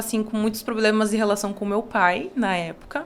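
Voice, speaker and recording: This is a woman with an unremarkable speaking voice. Her pitch is fairly high, and she talks at a fairly quick pace. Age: 20s. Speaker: university lecturer and psychodrama researcher. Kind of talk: podcast interview.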